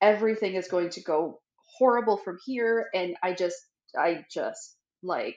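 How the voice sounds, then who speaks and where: The woman talks at a moderate pace, and audible room echo trails her words. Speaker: podcast co-host. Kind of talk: casual podcast conversation. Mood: candid, self-deprecating, animated. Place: home room.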